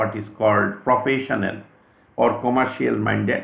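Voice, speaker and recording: A man with an Indian accent at medium pitch and a fairly slow pace, in audible room echo. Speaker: astrologer. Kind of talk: lecture. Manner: formal.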